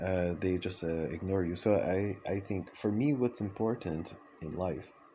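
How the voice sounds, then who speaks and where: Very deep and low in pitch, this man talks at a fairly slow pace with a dark, mellow tone and ordinary pitch variation. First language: French. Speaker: vlogger, circus artist and dancer. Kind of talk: personal vlog monologue. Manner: hesitant, many fillers and restarts.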